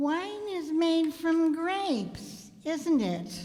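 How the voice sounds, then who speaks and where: Putting on a character voice at an extremely high pitch, a woman speaks at a very slow pace with lively intonation. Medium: stage play.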